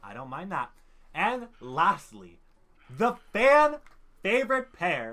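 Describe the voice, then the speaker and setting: His tone is bright, sharp and animated, with very wide pitch swings. The man speaks at a fairly slow pace. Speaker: gaming YouTuber. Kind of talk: casual gaming commentary. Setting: online voice call. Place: home room. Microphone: headset.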